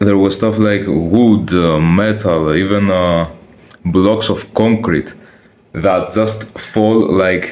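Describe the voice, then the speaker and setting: A man with a non-native accent speaks very slowly at a fairly low pitch, with fairly even intonation and very even loudness. Noticeable background noise and audible room echo fill the recording. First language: not English. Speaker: youtuber, personal vlogger. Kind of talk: casual personal storytelling to camera. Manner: casual, slangy with hesitations and restarts.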